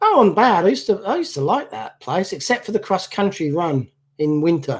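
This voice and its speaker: A man's high pitch with very wide pitch swings, at a fairly quick pace. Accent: southern English. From southern England, Basingstoke, Hampshire. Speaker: model car restorer and channel owner. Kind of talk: casual chat. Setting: live stream at home.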